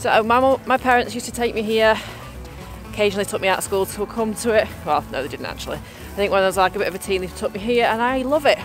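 Over clear background music, the speech comes very fast with ordinary pitch variation in dry sound with no echo. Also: woman. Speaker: family vlogger. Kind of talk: casual vlog chat. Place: open country. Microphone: phone near.

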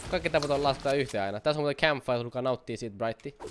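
A man speaks in an animated tone. Light background noise can be heard. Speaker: gaming YouTuber. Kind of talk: live gameplay commentary. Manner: fast. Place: home room.

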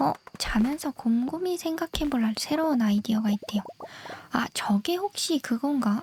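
A soft-spoken woman talks at a fairly slow pace with a high pitch, very wide pitch swings and very even loudness. The sound is dry and close with no echo, though noticeable background noise is present. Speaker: game streamer. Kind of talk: gameplay chat. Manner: whispering.

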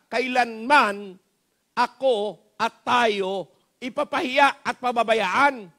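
A raised, projected voice with an animated, bright, sharp tone, ordinary pitch variation and a Filipino accent, over a quiet background. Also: man. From Philippines. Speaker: pastor. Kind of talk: sermon. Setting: church. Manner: animated, exhortative, pleading with the congregation; Taglish, folksy and humorous, with repeated rhetorical questions and frequent 'Amen?'. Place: church. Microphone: headset.

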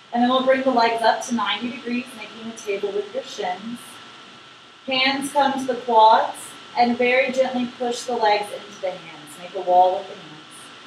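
Over noticeable background noise and audible room echo, a woman speaks at a moderate pace with a fairly high pitch. Her pitch varies in an ordinary way while her loudness swings widely. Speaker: yoga instructor. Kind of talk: guided yoga class with brisk core-workout countdown cues. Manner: encouraging, upbeat coaching with short praise words. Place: home room. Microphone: camera far.

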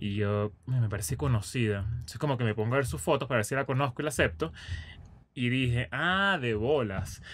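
The speech moves at a fairly quick pace. Its tone is fairly bright. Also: man, medium pitch for a man, ordinary pitch variation.

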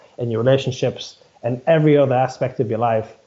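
A man with a British accent and fairly even intonation. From UK. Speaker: running and strength coach; strength coach. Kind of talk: casual interview conversation. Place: home room. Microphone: video call.

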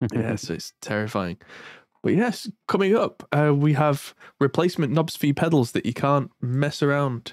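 Speaking with an English accent, a man uses a fairly high pitch and lively intonation. He moves at a moderate pace, and the sound is dry and close with no echo. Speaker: music tech podcast host. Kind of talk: casual chat.

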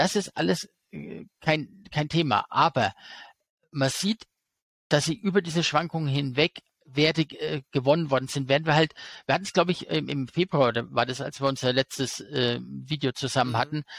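A man's fairly high voice with vocal fry, at a moderate pace, in a dry sound with no echo. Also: ordinary pitch variation. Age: 40s. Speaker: stock market expert and YouTuber; interview guest. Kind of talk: interview. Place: home room. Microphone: headset.

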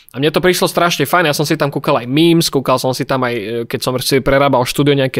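Against a quiet background, a man talks at a fairly quick pace in a fairly high voice with ordinary pitch variation. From Slovakia. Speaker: youtuber. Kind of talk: casual chat. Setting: video call. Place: home room. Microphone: studio mic.

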